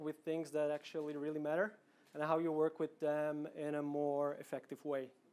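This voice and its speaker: In a very clean recording with a silent background, a man with a Slovak accent speaks at a fairly quick pace. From Slovakia, Bratislava. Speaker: product manager, conference speaker. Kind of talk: conference talk. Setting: stage with audience. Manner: casual, with fillers and repetitions.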